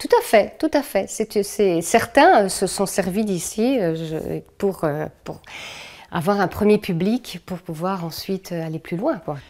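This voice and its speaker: Lively intonation marks a woman's medium-pitched voice. She speaks at a very slow pace. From France. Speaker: cultural organizer and puppeteer. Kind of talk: interview. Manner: hesitant, many fillers.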